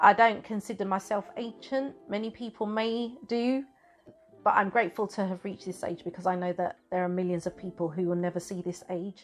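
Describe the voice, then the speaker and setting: A woman's normal speaking voice, fairly quick and medium in pitch, with ordinary pitch variation. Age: 50s. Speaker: YouTube vlogger. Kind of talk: casual chat.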